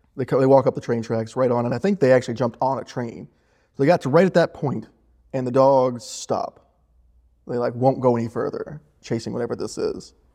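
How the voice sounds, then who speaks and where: A man's dark, mellow tone at a fairly quick pace. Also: medium pitch for a man, ordinary pitch variation. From Northeast Tennessee. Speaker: economic development director. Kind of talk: interview. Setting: studio. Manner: casual, many fillers.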